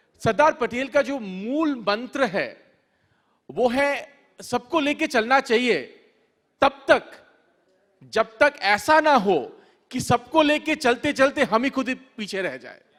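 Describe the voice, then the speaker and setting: With a Bengali accent, a man speaks at an extremely high pitch with ordinary pitch variation. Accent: non-native Hindi, Bengali-accented. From Bengal, India. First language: Bengali (speaking Hindi). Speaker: author. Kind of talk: literature festival talk. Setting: stage with audience. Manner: halting, with fillers.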